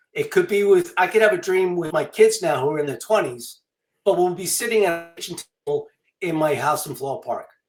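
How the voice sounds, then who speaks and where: In a New York accent, the speaker moves at a fairly quick pace with lively intonation. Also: man, high pitch for a man. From Long Island, New York. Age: 60s. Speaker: author and illustrator. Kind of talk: interview. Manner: casual, with many fillers.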